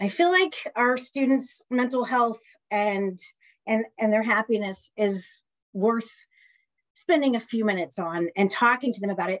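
A woman's fairly high voice in an American accent, at a moderate pace with lively intonation and long, frequent pauses, over a quiet background. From US Midwest. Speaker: community college professor. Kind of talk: lecture. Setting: video call. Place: home room. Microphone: webcam.

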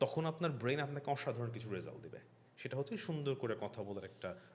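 A man speaks in a somewhat breathy voice at a medium pitch with lively intonation. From Bangladesh, Manikganj; Bangladesh. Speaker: content creator. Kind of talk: casual chat. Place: studio. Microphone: studio mic.

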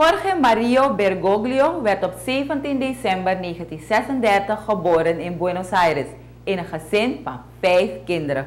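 Speaking very slowly, a woman with a medium-pitched voice swings her pitch very widely. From Suriname. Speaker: news presenter. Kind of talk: news reading. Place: studio.

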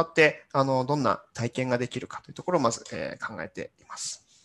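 Fairly quick delivery from a man, pitch varying in an ordinary way. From Japan, Yamanashi (Hokuto); Japan. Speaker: corporate engineer/business developer giving talk; presenter. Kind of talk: conference talk. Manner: halting, many fillers. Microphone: webcam.

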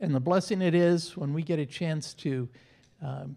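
A man's dark, mellow voice at a moderate pace, with ordinary pitch variation. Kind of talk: church announcements. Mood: warm, friendly. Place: church. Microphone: handheld.

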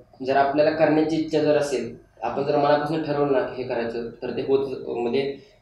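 Fairly even intonation from a man with a fairly high pitch, plus audible room echo. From Maharashtra, Satara district (Man taluka); Maharashtra. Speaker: intelligence officer recruit; interviewee. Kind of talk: interview. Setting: studio. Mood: earnest, reflective. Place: studio.

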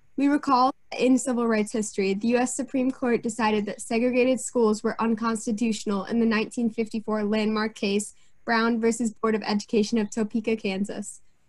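The speaker has an American accent and a somewhat breathy voice, with monotone, flat intonation over a quiet background. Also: woman, fairly high pitch for a woman, moderate pace. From US Northeast. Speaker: student co-moderator. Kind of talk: scripted introduction. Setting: video call. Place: home room. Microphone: webcam.

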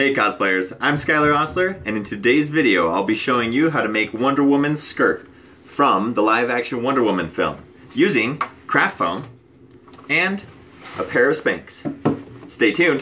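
A man speaks at a moderate pace with lively intonation, taking long, frequent pauses over light background noise. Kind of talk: tutorial intro. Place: home room. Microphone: camera far.

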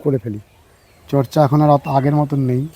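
This man's voice sits fairly high in pitch and has a dark, mellow tone. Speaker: YouTube gardening vlogger. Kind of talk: casual interview during nursery tour.

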